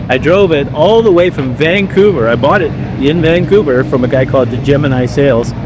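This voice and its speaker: A man's fairly high voice at a fairly quick pace, lively in intonation, with audible room echo and noticeable background noise. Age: 60s. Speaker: classic car owner. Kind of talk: casual chat. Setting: outdoors.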